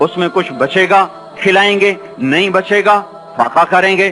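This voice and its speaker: A man speaks while noticeable background noise is present. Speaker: Islamic scholar / preacher. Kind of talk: religious sermon (bayan).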